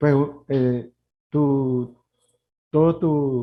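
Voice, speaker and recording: A man is speaking. His pitch is fairly high. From Nicaragua. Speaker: human rights lawyer. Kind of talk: interview. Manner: halting.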